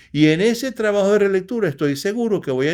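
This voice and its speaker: A man speaks with lively intonation. The recording is very clean, with a silent background. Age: 60s. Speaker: poet. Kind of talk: interview. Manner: halting.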